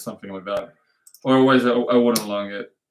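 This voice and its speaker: This man speaks with a non-native accent. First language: not English. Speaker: trading livestream host. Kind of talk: live stream market analysis. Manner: halting, self-correcting.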